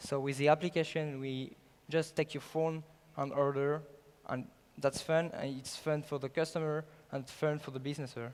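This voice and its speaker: Man at a fairly high pitch with monotone, flat intonation. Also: moderate pace. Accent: French. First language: French. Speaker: startup founder. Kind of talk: sales pitch. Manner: halting.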